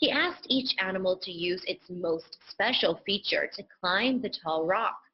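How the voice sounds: Lively intonation in a natural reading voice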